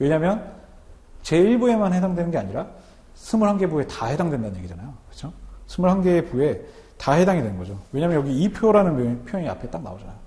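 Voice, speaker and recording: A dark, mellow voice rushes along at a very fast pace with very wide pitch swings. Room echo is audible. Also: man, high pitch for a man, big swings in loudness. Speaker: customs broker instructor. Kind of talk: lecture.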